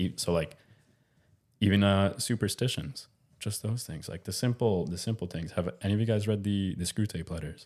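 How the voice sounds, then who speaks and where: In a very clean recording with a silent background, a man with a Canadian accent talks at a moderate pace, his pitch fairly low and its variation ordinary, in an unremarkable speaking voice. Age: 20s. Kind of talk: casual chat.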